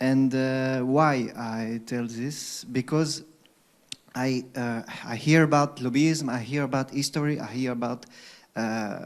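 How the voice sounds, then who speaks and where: Someone with a non-native accent speaks at a very slow pace over noticeable background noise. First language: not English. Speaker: audience member asking a question. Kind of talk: audience question at seminar. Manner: halting, many hesitations.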